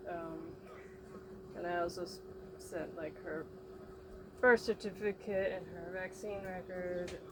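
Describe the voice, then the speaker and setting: Mumbling at a fairly slow pace, a woman speaks at a medium pitch with monotone, flat intonation. Her loudness swings widely, and long, frequent pauses break up her speech. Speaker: mother vlogger. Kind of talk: casual vlog monologue.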